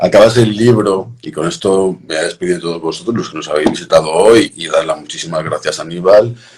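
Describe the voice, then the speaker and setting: The speaker talks at a moderate pace with a Castilian accent. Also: man. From Madrid. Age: 40s. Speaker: cultural association host. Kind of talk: casual chat.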